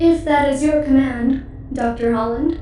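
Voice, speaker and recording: A put-on character voice, female-sounding and high-pitched, at a moderate pace with slight echo. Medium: audio drama. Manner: formal, literal.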